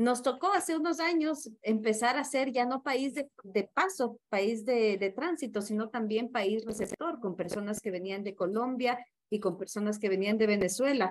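A woman with a plain, everyday voice talks fairly slowly at a fairly high pitch, with hardly any pauses. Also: lively intonation. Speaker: theologian and sociologist. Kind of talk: interview.

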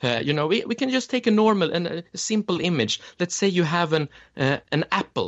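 With a Swedish accent, a high-pitched man speaks at a moderate pace and with lively intonation. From Sweden. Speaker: memory champion and educator. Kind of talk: interview. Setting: remote call.

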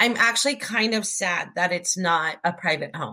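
With an American accent, a woman speaks at a moderate pace in a bright, sharp tone. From Orange, Southern California. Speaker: podcast host. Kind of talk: scripted narration; casual chat.

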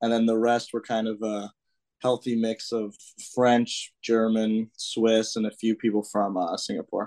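A man with an American accent speaks at a medium pitch and a fairly slow pace in monotone, flat intonation, the sound dry and close with no echo against a quiet background. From US Midwest, northern Illinois. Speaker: college student. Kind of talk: casual interview chat.

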